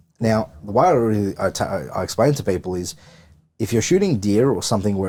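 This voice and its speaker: The speaker has an Australian accent and lively intonation. The recording is very clean, with a silent background. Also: man. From Victoria, Australia. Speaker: firearms and thermal optics salesman. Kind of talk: podcast interview. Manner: halting, many repeated words.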